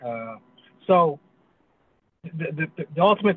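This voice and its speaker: At a moderate pace, a man with a fairly high pitch speaks in dry sound with no echo. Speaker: pastor. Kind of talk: Q&A participant. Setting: video call. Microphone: video call.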